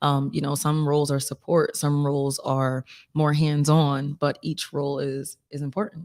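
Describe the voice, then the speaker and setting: The woman's voice is very deep and low, at a moderate pace. Her intonation is monotone and flat. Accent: Philadelphia. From Philadelphia, US. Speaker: singer-songwriter. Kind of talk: casual interview.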